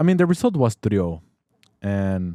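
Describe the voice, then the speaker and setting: A man's fairly low, dark, mellow voice at a moderate pace, in a very clean recording with a silent background and a dry, close sound with no echo. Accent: Spanish. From Mexico. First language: Spanish. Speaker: football podcast host. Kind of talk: casual sports talk. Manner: animated; halting.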